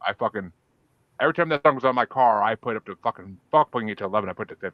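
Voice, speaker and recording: A man talks with a slight Boston accent. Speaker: podcast host. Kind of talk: casual chat. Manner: animated.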